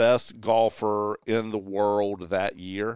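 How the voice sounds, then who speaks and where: In a very clean recording with a silent background, a man with a Southern US accent speaks at a very slow pace in a dry, close sound with no echo. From eastern North Carolina. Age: 40s. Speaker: golf guest. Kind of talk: casual chat.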